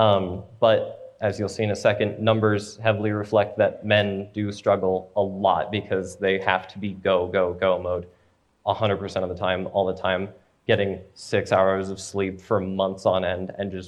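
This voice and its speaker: A man speaks in a flat monotone. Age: 20s. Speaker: young church member giving a talk. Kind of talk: presentation followed by Q&A.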